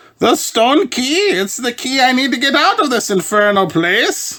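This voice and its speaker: A put-on character voice, high-pitched and pompous in tone, swings very widely in pitch. It moves along at a moderate pace. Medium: read story. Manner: pompous, excitable.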